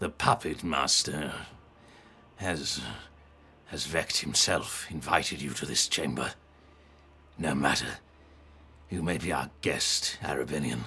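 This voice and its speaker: A man's put-on character voice, very deep and low, at a fairly slow pace with long, frequent pauses, over clear background noise. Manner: menacing, formal.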